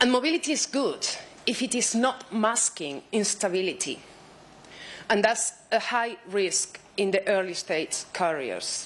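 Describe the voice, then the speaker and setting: In a Spanish accent, a woman speaks fairly slowly at a fairly high pitch, with vocal fry and very wide pitch swings. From Spain. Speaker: researcher. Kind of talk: conference talk.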